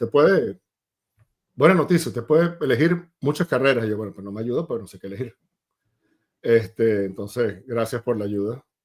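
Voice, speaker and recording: With a Venezuelan accent, a man at medium pitch talks with lively intonation, big swings in loudness, and long, frequent pauses. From Venezuela, Maracay. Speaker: tech sales executive. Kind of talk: interview.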